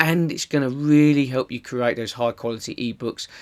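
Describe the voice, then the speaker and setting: A man with a strong Essex accent speaks with fairly even intonation in a dry, close sound with no echo. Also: very clean recording, silent background. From Essex, England. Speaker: online marketing tutor. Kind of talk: tutorial. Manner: casual, conversational.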